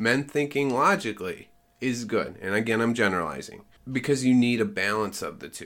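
A man speaks fairly quickly in a plain, everyday voice at a medium pitch. His intonation is lively, with big swings in loudness. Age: 40s. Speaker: host's husband. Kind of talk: casual chat. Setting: at home.

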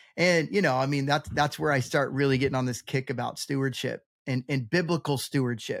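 A plain, everyday voice, a man with fairly high pitch talks fairly quickly with ordinary pitch variation, the recording very clean with a silent background and a dry, close sound with no echo. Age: 40s. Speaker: bi-vocational pastor and real estate investor. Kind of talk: casual interview chat.

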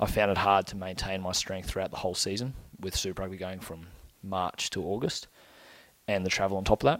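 Speaking at a fairly quick pace, a man with an Australian accent uses a very deep, low pitch and fairly even intonation. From Brisbane, Queensland, Australia. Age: 20s. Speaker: rugby union player. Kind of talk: podcast interview.

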